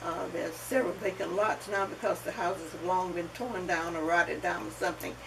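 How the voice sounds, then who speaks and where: With a Southern US accent, the speaker talks at a fairly quick pace with lively intonation over noticeable background noise. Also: woman, fairly low pitch for a woman, hardly any pauses. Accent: Southern US (Georgia). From US South, Athens, Georgia. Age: 80s+. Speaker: oral history interviewee. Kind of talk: oral history interview.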